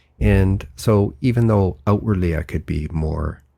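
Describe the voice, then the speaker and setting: A man with a Canadian accent speaks with ordinary pitch variation. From Canada, near Vancouver. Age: 60s. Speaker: author and engineer. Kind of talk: interview.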